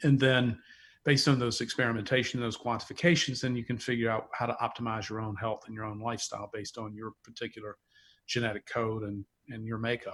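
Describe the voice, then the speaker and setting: A man with a Southern US accent, medium pitch and fairly even intonation, talking at a very fast pace with big swings in loudness on a very clean recording with a silent background. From US South, North Carolina (near Charlotte). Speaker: wine company founder, entrepreneur. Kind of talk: interview conversation.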